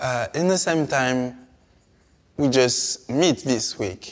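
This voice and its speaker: Speaking with a French accent at medium pitch, a man keeps a fairly slow pace. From Martinique. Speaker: artist. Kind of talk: interview conversation. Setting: palace interior. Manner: halting, many hesitations.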